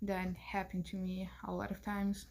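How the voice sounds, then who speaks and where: A woman with a Spanish accent speaks in a medium-pitched, somewhat breathy voice. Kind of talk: class presentation. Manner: halting.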